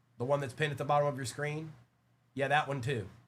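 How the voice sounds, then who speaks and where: There is audible room echo around a man whose fairly high-pitched voice is somewhat breathy. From South Africa. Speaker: trading card breaker, live seller. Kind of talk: live stream card break selling. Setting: live stream. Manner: animated.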